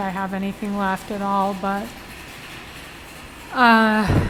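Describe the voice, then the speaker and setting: A woman's medium-pitched, monotone, flat voice at a very slow pace, amid noticeable background noise and audible room echo. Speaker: vlogger. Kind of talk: casual vlog monologue. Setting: grocery store. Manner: halting.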